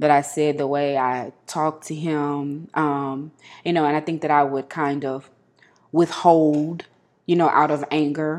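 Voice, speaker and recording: A woman's very deep, low voice, flat and monotone, at a moderate pace over a quiet background. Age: 30s. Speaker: podcast guest. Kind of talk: casual chat.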